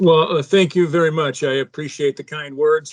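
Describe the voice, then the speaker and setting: Fairly high-pitched and fairly quick, a man speaks in an ordinary speaking voice, captured dry and close with no echo. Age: 60s. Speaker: advertising media buyer. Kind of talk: interview.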